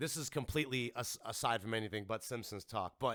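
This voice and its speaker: In a dry, close sound with no echo, a man talks fairly quickly with lively intonation and an animated tone. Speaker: podcast host. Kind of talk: casual chat.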